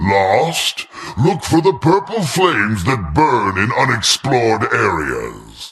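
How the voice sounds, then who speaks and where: A man puts on a character voice at a medium pitch. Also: fairly slow pace. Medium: video game. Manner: gloating, theatrical.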